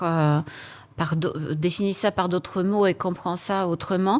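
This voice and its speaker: Speaking at a fairly slow pace with a medium pitch and ordinary pitch variation, a woman with a Polish accent is heard in a very clean recording with a silent background. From Poland. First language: Polish (speaking French). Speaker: HR executive. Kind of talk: panel interview. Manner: hesitant, many fillers.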